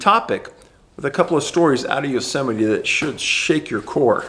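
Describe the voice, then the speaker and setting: A man with an American accent speaks at a moderate pace, his pitch swinging very widely. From US West. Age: 60s. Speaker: researcher and video host. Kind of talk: reading aloud; casual monologue.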